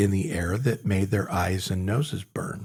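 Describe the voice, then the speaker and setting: In a very clean recording with a silent background, a man speaks at a fairly slow pace, somewhat breathy. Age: 60s. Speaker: podcast co-host. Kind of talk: casual chat.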